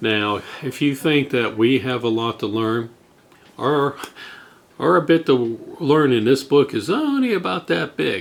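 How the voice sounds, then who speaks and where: A man with a plain, everyday voice, medium in pitch, at a fairly slow pace with lively intonation. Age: 60s. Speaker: drone hobbyist vlogger. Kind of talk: casual tutorial.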